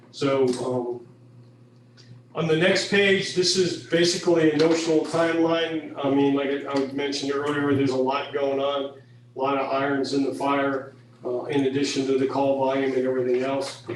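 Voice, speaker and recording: With fairly even intonation and a fairly high pitch, a man speaks at a moderate pace, over noticeable background noise and audible room echo. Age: 60s. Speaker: fire and rescue chief. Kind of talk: presentation at a public meeting. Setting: county board meeting. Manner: halting, many fillers.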